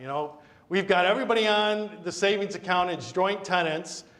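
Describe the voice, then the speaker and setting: With ordinary pitch variation and a moderate pace, a man talks over noticeable background noise. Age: 60s. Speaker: estate planning attorney. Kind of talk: community talk on wills. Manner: conversational.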